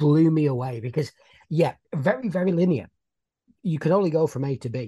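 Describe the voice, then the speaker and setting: This voice carries a British accent. It moves along fairly quickly. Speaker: podcast co-host. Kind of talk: casual chat.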